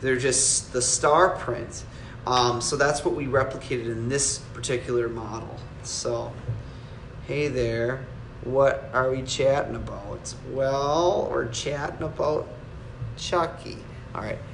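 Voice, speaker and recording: Very slow male speech with noticeable background noise and audible room echo. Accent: strong Wisconsin. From Wisconsin, US Midwest. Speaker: collectibles maker answering viewer questions. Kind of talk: live stream Q&A, casual chat. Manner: halting, many fillers and restarts.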